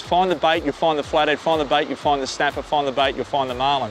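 Over light background noise, a man's voice sounds dry with no echo. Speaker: fishing show host. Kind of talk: tutorial. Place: beach. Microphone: lapel.

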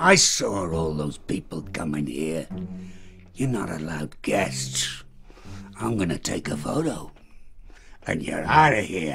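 Speaking with a very deep, low pitch, a man talks at a fairly slow pace with lively intonation and long, frequent pauses, with clear background noise behind him. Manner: suspicious, grumbling.

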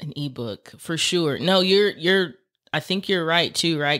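The recording is very clean and the background silent. An American accent comes through. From Texas. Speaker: podcast host. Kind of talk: casual chat. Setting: studio.

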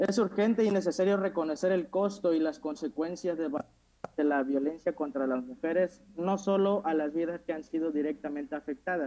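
A man's fairly high, dark, mellow voice with ordinary pitch variation. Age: 20s. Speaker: youth parliament candidate; candidate. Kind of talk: formal speech; formal speech presentation. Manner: halting, with self-corrections. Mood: earnest, slightly nervous. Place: home room. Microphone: earbuds.

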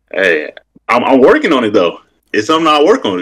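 With an American accent, a man speaks fairly high and fairly quickly, his voice showing vocal fry. The background is quiet. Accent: country-sounding speech. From Wisconsin, by way of North Carolina. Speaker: caller on a livestream. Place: home room. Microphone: video call.

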